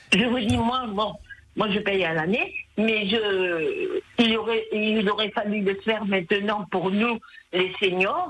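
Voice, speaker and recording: Very slow speech from a woman with a fairly high pitch, amid noticeable background noise. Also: ordinary pitch variation, very even loudness. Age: 70s. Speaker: radio caller. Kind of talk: phone-in comment.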